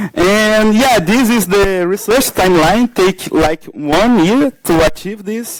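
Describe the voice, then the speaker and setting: A man with a non-native accent and a high pitch talks at a very slow pace with ordinary pitch variation and hardly any pauses. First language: Portuguese. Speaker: security researcher. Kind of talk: conference talk. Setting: stage with audience. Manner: halting, many fillers.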